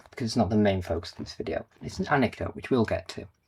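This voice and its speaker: A man with a northern English accent talks very fast. His voice is fairly low and somewhat breathy. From northern England. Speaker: game collector YouTuber. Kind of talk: casual vlog talk to camera. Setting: home, recording on camera.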